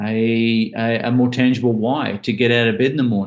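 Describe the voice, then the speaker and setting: The pace is moderate. The speaker has an Australian accent. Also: man. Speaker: author and bucket list speaker. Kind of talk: casual chat.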